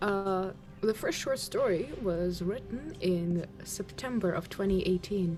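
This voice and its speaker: At a very slow pace, a woman speaks with very even loudness while music plays in the background. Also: medium pitch for a woman, ordinary pitch variation. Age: 18. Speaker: streamer. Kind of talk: casual chat.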